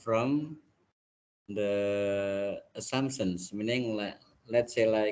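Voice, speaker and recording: A man with an Indonesian accent, at a very slow pace. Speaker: university lecturer. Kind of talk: lecture.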